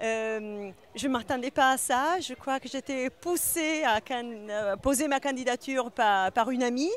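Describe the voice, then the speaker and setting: Here a woman talks with a high pitch. Her pace is fairly slow. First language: not French (speaking French). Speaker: winemaker and business owner. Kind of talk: interview. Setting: awards event. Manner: hesitant, many fillers.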